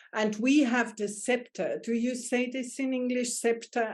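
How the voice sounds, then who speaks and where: A woman talks with a German accent at a fairly slow pace. Her pitch is fairly high, and her intonation stays fairly even. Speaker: astrologer and life coach. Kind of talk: casual chat.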